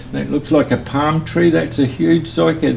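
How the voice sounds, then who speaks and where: A man speaks with a New Zealand accent. Noticeable background noise runs behind him. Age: 70s. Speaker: hot rod builder. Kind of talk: interview answer. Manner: casual, chatty.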